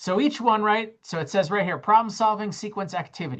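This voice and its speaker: Against a quiet background, a woman speaks in a somewhat breathy voice with a fairly high pitch. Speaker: college math instructor. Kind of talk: lecture.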